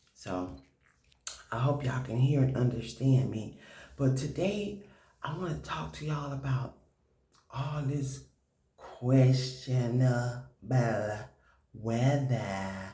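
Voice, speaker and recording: A man speaks quietly at a medium pitch and a very slow pace, with long, frequent pauses and audible room echo. His voice has a dark, mellow tone and is somewhat breathy. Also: ordinary pitch variation. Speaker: prepper video host. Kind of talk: casual commentary vlog. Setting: at home. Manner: quiet, hushed.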